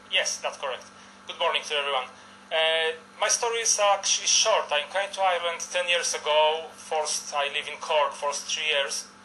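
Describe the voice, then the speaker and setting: A man with a Polish accent, fairly high in pitch, with ordinary pitch variation at a moderate pace. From Poland. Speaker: election candidate. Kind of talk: live TV interview. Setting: remote studio.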